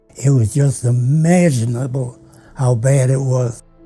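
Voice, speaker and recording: Over music in the background, a man with an American accent speaks at a very slow pace and medium pitch with fairly even intonation. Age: 80s+. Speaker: WWII pilot and war veteran. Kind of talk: interview answer.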